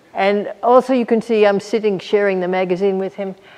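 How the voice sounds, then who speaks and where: A woman speaks at a medium pitch. Noticeable background noise is audible. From Australia, Melbourne. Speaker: physicist. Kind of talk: public talk.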